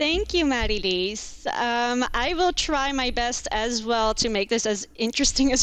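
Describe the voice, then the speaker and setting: The speaker talks at a fairly slow pace with an American accent and ordinary pitch variation. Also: woman. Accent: American-sounding. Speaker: contract lawyer. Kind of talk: podcast interview. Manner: hesitant, many fillers.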